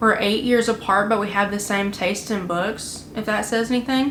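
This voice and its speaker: A woman's fairly high, monotone voice with flat intonation, in a room with audible echo. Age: 20s. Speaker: vlogger. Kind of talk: casual chat. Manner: halting.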